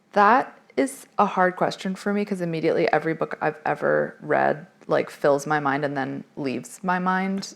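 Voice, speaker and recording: Vocal fry in a woman's fairly low-pitched voice, her pitch varying in an ordinary way. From Massachusetts. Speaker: novelist and college teacher. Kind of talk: interview at author event. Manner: fast.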